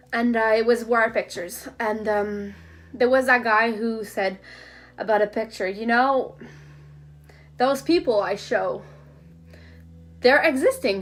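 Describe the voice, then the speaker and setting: Here a woman speaks with a Quebec accent at a fairly high pitch and ordinary pitch variation. Her pace is fairly slow, broken by long, frequent pauses. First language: French. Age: 20s. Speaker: university student. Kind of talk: class presentation. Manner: halting, many fillers.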